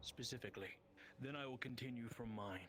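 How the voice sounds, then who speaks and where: Putting on a character voice at a medium pitch, a man talks at a fairly quick pace over clear background noise. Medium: game stream. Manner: formal, measured.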